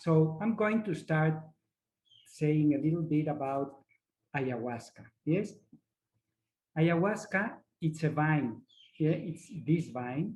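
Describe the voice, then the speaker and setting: A man with a non-native accent and fairly high pitch, a very slow pace with long, frequent pauses, ordinary pitch variation, and music in the background. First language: not English. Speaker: ayahuasca facilitator. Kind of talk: online workshop presentation. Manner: halting, searching for words.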